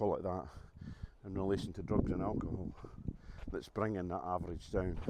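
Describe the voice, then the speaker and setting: This is a man speaking in a Scottish accent. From Scotland. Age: 60s. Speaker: vlogger. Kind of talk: casual vlog talk to camera. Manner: hesitant, many fillers.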